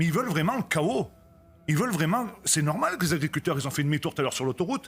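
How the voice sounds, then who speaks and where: Over music in the background, a man with an Auvergne accent talks very fast at a fairly high pitch, with lively intonation and very even loudness. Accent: regional Auvergne French. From France, Haute-Loire (Auvergne). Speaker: farmer, protest activist. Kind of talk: TV panel debate. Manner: animated.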